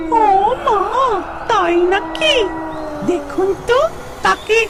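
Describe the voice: An extremely high-pitched cartoonish character voice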